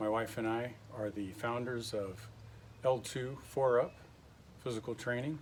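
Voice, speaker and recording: A man speaks in an ordinary speaking voice with an American accent. His pitch is medium, with ordinary pitch variation. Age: 60s. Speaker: retired Marine, fitness instructor. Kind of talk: casual workout tutorial to camera. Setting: home garage gym.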